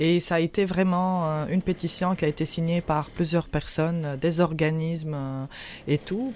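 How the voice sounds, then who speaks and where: In a very clean recording with a silent background, a woman speaks at a fairly low pitch with fairly even intonation and very even loudness. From Tunisia. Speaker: anti-racism activist. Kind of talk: interview. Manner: halting.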